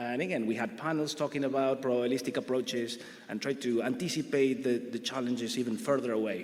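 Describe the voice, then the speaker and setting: Over noticeable background noise and audible room echo, the speaker goes at a very fast pace with fairly even intonation. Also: man, medium pitch for a man. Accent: Argentinian. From Argentina. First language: Spanish. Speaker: grid research director, panelist. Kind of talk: conference panel presentation.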